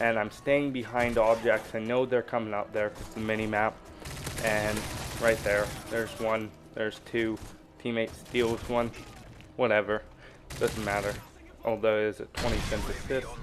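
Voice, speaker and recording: Shaky and monotone with flat intonation, a man at a medium pitch talks at a moderate pace with long, frequent pauses over noticeable background noise. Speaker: gaming YouTuber. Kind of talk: gameplay commentary tutorial. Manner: casual, halting.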